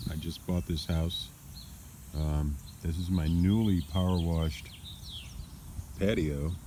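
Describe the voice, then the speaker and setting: A man speaks with a very deep, low pitch and a dark, mellow tone at a fairly slow pace with fairly even intonation. Long, frequent pauses break his speech, and audible room echo surrounds it. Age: 60s. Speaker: former car salesman, vlogger. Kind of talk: casual vlog monologue. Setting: outdoors in backyard. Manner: casual, with many fillers.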